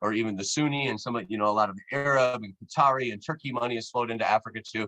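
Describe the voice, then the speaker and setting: A man speaks at medium pitch with ordinary pitch variation and a bright, sharp tone. The sound is dry and close, with no echo. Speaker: anthropology professor. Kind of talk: lecture. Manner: fast; animated.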